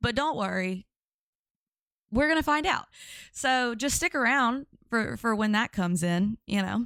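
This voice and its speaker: In a Louisiana accent, a woman speaks fairly slowly in a fairly high pitch with lively intonation and a bright, sharp tone, leaving long, frequent pauses at very even loudness, on a very clean recording with a silent background and a dry, close sound with no echo. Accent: Louisiana Southern. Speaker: live-stream commentary streamer. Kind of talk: casual live-stream chat. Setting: live stream.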